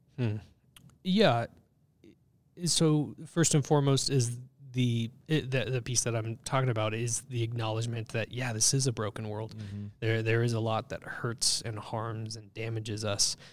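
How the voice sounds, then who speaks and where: Speaking with a Californian accent, a man keeps a medium pitch, a moderate pace and fairly even intonation. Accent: Californian American English. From Southern California. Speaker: church ministry staff. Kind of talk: casual chat.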